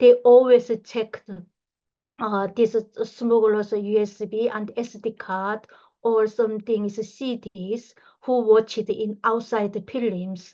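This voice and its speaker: In a Korean accent, the speaker talks at a very slow pace with monotone, flat intonation. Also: woman, fairly high pitch for a woman. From North Korea. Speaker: human rights activist. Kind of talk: lecture. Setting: video call. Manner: halting.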